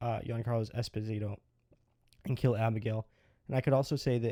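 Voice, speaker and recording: Dark and mellow in tone, a man speaks at a moderate pace and medium pitch. The recording is very clean with a silent background, the sound dry and close with no echo. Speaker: film reviewer. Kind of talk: casual film review to camera. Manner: stuttering.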